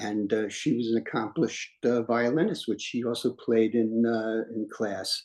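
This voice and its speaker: A man speaks at a moderate pace with a New York accent, his intonation fairly even. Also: medium pitch for a man. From New York City, Washington Heights. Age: 80s+. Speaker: retired singer and street performer. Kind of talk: life story testimony in a group conversation. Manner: halting, many fillers and repetitions.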